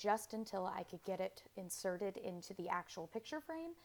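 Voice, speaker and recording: A woman at a moderate pace and medium pitch, in an unremarkable speaking voice. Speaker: DIY crafts vlogger. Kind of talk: casual tutorial vlog. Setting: outdoors, then indoors in closet.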